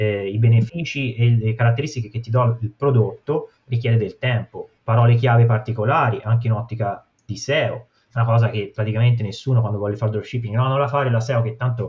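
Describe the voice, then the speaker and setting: This man's voice is medium in pitch and somewhat breathy, moving at a fairly quick pace with fairly even intonation. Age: 30s. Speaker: dropshipping entrepreneur. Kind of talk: casual interview.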